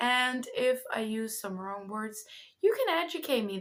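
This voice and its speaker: Lively intonation at a fairly slow pace, with a Dutch accent. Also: woman. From Netherlands. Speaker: spiritual content creator and card reader. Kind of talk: casual vlog announcement. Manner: hesitant, stumbling over words.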